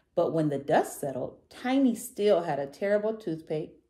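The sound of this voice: The intonation is lively in an unforced reading voice.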